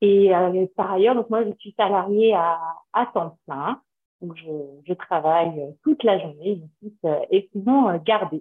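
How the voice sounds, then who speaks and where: At a very slow pace, a woman speaks at a medium pitch with ordinary pitch variation and big swings in loudness. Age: 30s. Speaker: mother seeking parenting coaching. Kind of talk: casual chat. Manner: halting.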